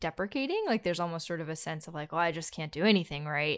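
This woman has an unremarkable speaking voice and an American accent. Her pitch is fairly low with ordinary variation, and the background is quiet. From US South, North Carolina. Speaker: podcast host, therapist. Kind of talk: casual interview chat.

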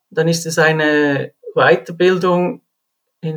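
A man with a Swiss accent and a high pitch. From Switzerland. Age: 40s. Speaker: railway firefighter. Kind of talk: interview.

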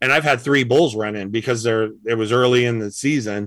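Recorded very cleanly against a silent background, a man of medium pitch talks at a moderate pace in a bright, sharp tone with ordinary pitch variation. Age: 50s. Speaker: elk calling champion and game call maker. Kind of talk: casual interview chat.

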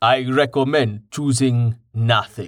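A man's put-on character voice, medium in pitch, fairly slow, with fairly even intonation. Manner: slow, measured.

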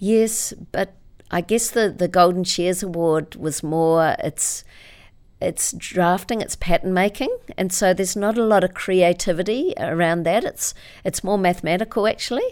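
On a very clean recording with a silent background, a woman with a New Zealand accent talks at medium pitch and a moderate pace, her pitch varying in an ordinary way. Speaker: author and motivational speaker. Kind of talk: interview.

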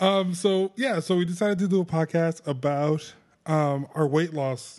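Against a quiet background, a man speaks at a high pitch with lively intonation. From Puerto Rican heritage, US. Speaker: podcast co-host. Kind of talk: casual chat. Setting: home living room.

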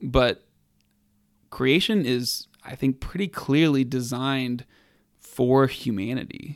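Speaking in an American accent, a man moves at a very slow pace with ordinary pitch variation. Long, frequent pauses break up his speech. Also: medium pitch for a man. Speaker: podcast co-host. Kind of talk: casual banter, Q&A. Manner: joking, laughs a lot.

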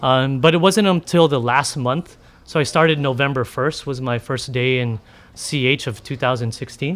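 A man with an American accent and an ordinary speaking voice talks at a medium pitch and moderate pace with ordinary pitch variation. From San Diego, California. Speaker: chef. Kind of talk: live podcast interview. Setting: live event with audience.

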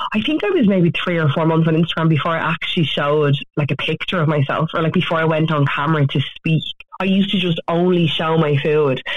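In an Irish accent, the speaker goes at a very fast pace with fairly even intonation and very even loudness, over noticeable background noise. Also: woman, fairly low pitch for a woman. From Ireland. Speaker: author and social media influencer. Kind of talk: radio interview. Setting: phone call.

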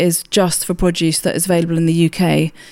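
In a very clean recording with a silent background, a woman with a southern English accent talks at a very fast pace in a fairly low pitch. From southern England, Hampshire. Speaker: food awards chief executive. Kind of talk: interview.

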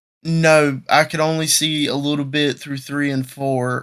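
A man with a Southern US accent speaks at a fairly slow pace in a fairly high pitch, his intonation monotone and flat. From South Carolina, Marion. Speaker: podcast co-host and race announcer. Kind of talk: casual chat. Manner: halting.

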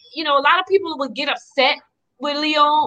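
Projecting her voice loudly, a woman speaks at a fairly quick pace with a high pitch and a bright, sharp tone. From Louisiana, Donaldsonville. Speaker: community group member. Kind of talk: live talk show discussion. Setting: video call.

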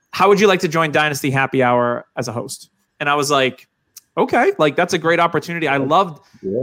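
A man with an American accent, a bright, sharp tone, lively intonation and a fairly quick pace. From New Hampshire. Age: 40s. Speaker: fantasy football podcaster. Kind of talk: casual chat.

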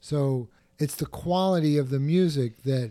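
A man's dark, mellow tone with ordinary pitch variation, on a very clean recording with a silent background. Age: 60s. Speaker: drummer and photographer. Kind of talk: interview conversation.

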